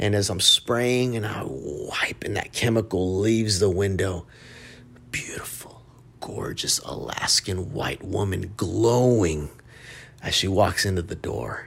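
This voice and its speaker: An American-accented man talks at a fairly low pitch and a fairly slow pace, in an animated tone with ordinary pitch variation. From Texas, Dallas (Oak Cliff). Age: 20s. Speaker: podcast host. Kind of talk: casual monologue.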